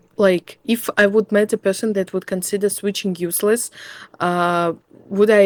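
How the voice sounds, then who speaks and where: A woman with a non-native accent at a moderate pace, medium in pitch, fairly even in intonation, with a dry, close sound and no echo. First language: not English. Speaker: gamer interviewee. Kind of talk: philosophical interview. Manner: hesitant, searching for words.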